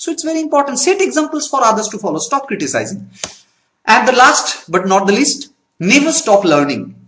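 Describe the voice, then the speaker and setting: A man speaks with a Bengali accent at a moderate pace. His pitch swings very widely. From Bengal, India. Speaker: network marketing trainer. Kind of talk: training talk. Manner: halting.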